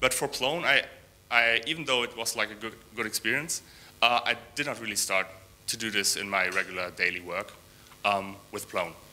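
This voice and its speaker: A man with a non-native accent speaks at a medium pitch in a bright, sharp tone with ordinary pitch variation. His pace is moderate, broken by long, frequent pauses. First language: not English. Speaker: software developer. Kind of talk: conference talk. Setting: stage with audience. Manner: halting, many fillers and repeats.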